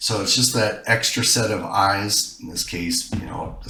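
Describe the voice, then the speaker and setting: A man's fairly low-pitched, fairly slow speech amid noticeable background noise and audible room echo. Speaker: software tutorial presenter. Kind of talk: tutorial.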